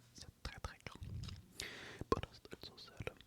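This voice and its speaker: The speaker whispers. Noticeable background noise can be heard. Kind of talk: inaudible whispered reading of a novel. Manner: whispered, soft.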